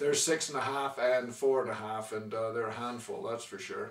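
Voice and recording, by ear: At a medium pitch, a man speaks at a moderate pace with fairly even intonation and a fairly bright tone.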